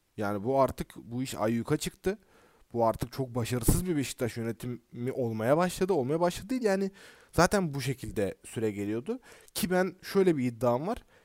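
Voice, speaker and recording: A man's animated voice at a moderate pace, with very wide pitch swings, a dry, close sound with no echo, and a very clean recording over a silent background. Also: medium pitch for a man. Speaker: podcast host. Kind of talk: casual chat.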